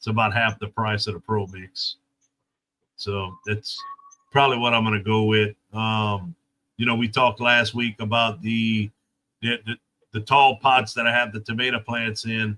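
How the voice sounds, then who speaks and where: A man with an American accent speaks at a fairly slow pace, leaving long, frequent pauses, in a medium pitch and a monotone, flat intonation. His tone is bright and sharp, and the sound is dry and close with no echo. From South Louisiana. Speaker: gardening YouTuber. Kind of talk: casual chat.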